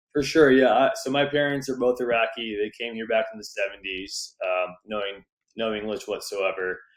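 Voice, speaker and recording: A man speaks with an American accent at a moderate pace. His medium pitch shows ordinary variation. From Southern California. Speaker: real estate investor and entrepreneur. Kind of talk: podcast interview.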